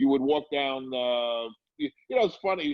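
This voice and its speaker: A man with an American accent speaks in an ordinary speaking voice at a medium pitch, using ordinary pitch variation. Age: 60s. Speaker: comedy club owner. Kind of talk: interview.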